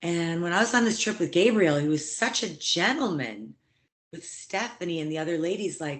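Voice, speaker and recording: This woman has a plain, everyday voice with an American accent, a fairly low pitch, ordinary pitch variation and a moderate pace. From US Midwest. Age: 60s. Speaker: actress and TV personality. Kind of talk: interview.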